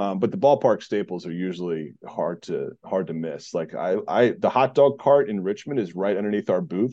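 An ordinary speaking voice from a man, fairly low in pitch, with lively intonation, a moderate pace and hardly any pauses. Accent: American. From Southeast Virginia. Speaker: minor league baseball broadcaster. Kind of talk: casual interview.

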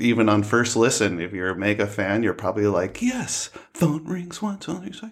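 A man with an American accent speaks at a medium pitch and a moderate pace, his intonation lively. Noticeable background noise sits behind him. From United States. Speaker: podcast co-host. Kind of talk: casual chat. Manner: animated.

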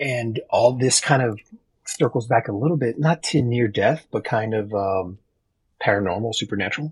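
Somewhat breathy and medium in pitch, a man with an American accent talks at a moderate pace with ordinary pitch variation. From Texas. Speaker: podcast guest sharing life stories. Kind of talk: casual chat.

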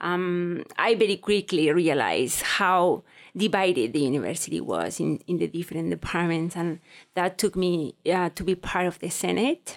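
A woman talks with vocal fry. Her pitch variation is ordinary. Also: fairly low pitch for a woman, moderate pace. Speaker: research assistant and graduate student. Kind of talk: casual interview conversation. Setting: studio.

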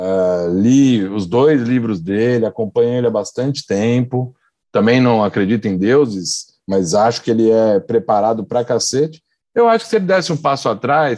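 Against a quiet background, a man of medium pitch speaks in a normal speaking voice at a moderate pace, with lively intonation and very even loudness. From São Paulo. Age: young. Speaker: works at a TV production company. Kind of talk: casual chat.

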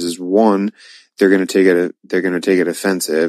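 A man with a very deep, low voice talks at a fairly quick pace in a dry, close recording with no echo. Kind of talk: casual chat.

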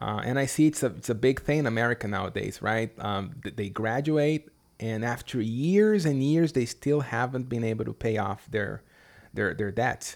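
A man's medium-pitched voice with a Brazilian accent, ordinary pitch variation and a moderate pace, in a very clean recording over a silent background. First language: Portuguese. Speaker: English teacher. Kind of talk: casual interview chat.

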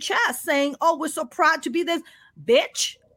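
At a moderate pace, a woman with an extremely high pitch speaks in a raised, projected voice with an animated tone. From Pakistan. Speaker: stand-up comedian. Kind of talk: casual interview.

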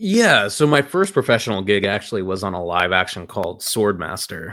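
A man speaks at a fairly slow pace in a fairly low pitch, his tone bright and sharp. The recording is very clean, with a silent background. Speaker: voice actor. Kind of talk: casual interview chat. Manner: relaxed, humorous, conversational.

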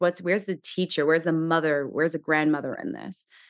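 Her accent is American. The speaker is a woman. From Southern California. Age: 30s. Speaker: Chinese medicine doctor and acupuncturist. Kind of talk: interview conversation.

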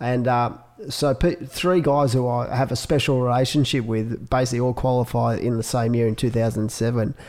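Speaking in an Australian accent, a man keeps a medium pitch, fairly even intonation, very even loudness and a fairly quick pace. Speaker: podcast host, surf event organizer. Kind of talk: casual interview. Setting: in person, Sydney.

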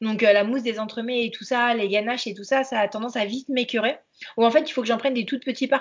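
Speaking very fast, a woman keeps her intonation fairly even at a fairly high pitch while her loudness swings widely. Noticeable background noise runs underneath. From France, Angers. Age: 30s. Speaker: pastry chef and consultant. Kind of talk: casual interview. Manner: hesitant, many fillers.

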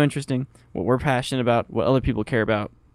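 Very fast speech from a man, with ordinary pitch variation, on a very clean recording with a silent background and a dry, close sound with no echo. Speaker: podcast co-host, college student. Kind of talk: casual chat.

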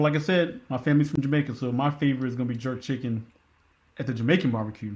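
A man talks at a very fast pace in an American accent. He sounds somewhat breathy, with ordinary pitch variation. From Philadelphia, Pennsylvania. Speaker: Coast Guard veteran working in tech. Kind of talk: interview conversation. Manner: animated.

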